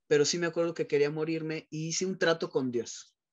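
Quiet background behind a man's voice. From Mexico City. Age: 40s. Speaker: psychologist and sexologist; guest. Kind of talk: personal testimony interview. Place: office. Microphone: video call.

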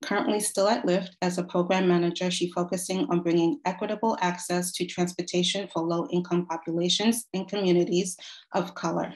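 Over a quiet background, a woman with a fairly low pitch and ordinary pitch variation speaks with hardly any pauses. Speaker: event host. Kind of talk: formal introduction. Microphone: video call.

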